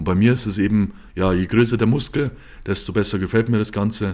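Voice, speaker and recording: A plain, everyday voice at a fairly quick pace with fairly even intonation. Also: man. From Bavaria, Germany. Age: 20s. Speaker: podcast host, professional bodybuilder. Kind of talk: solo monologue podcast.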